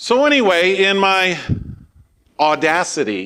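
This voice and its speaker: Lively intonation runs through this man's bright, sharp tone. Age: 60s. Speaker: pastor. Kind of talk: sermon.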